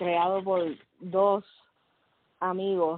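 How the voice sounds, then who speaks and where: A woman at a very slow pace, medium in pitch. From Puerto Rico (San Juan metro area). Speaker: podcast co-host. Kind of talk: casual chat.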